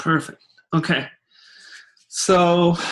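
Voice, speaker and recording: A man speaks very slowly with a non-native accent. His pitch is high, and the background is quiet. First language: not English. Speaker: usability test participant. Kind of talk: think-aloud user test. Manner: halting.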